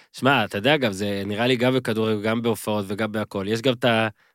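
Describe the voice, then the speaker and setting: Here a man with an ordinary speaking voice talks at a medium pitch and a fairly quick pace. The recording is very clean with a silent background, dry and close with no echo. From Israel, moshav. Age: 30s. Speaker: podcast host. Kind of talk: interview. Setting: studio.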